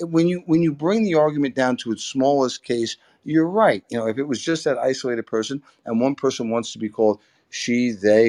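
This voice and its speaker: A man with an ordinary speaking voice talks at a fairly quick pace with a medium pitch and lively intonation. The sound is dry and close with no echo, over a quiet background. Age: 60s. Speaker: debate participant. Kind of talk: heated debate.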